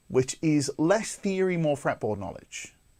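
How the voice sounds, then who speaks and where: This man talks at a fairly quick pace. Vocal fry runs through his voice. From northeast England. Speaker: guitar teacher and show host. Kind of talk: live-streamed guitar lesson. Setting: live stream to camera. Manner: casual, conversational with filler words.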